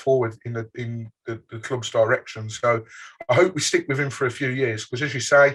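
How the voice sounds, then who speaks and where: A man in a strong Birmingham accent talks at a fairly quick pace with fairly even intonation on a very clean recording with a silent background. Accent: Birmingham (Brummie), strong. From England, Birmingham. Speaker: football fan podcaster. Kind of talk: casual interview chat.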